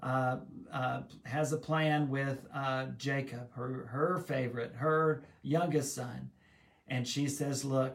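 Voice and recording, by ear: In a natural voice, a person reads aloud.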